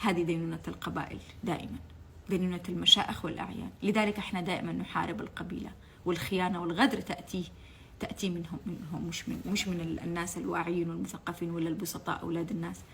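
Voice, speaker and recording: A woman with a Yemeni accent speaks at a fairly quick pace in a fairly low pitch. Her tone is animated, and noticeable background noise is present. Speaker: political commentator, former TV channel staff. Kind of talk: impassioned political monologue. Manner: animated, emotional; halting, repeats words.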